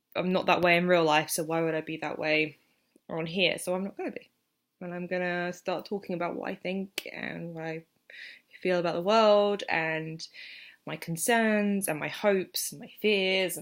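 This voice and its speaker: This woman has an English accent. She keeps a moderate pace. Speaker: vlogger. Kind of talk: casual vlog monologue. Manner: halting.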